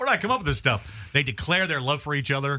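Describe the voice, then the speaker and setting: A man is speaking. His voice is loud. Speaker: radio host. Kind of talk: casual banter on a morning radio show. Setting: studio.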